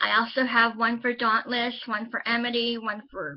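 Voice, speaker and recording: The voice is a woman's, pitched fairly high. She takes a fairly slow pace. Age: 30s. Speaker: vlogger and self-published author. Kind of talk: casual vlog monologue. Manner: hesitant, with frequent ums.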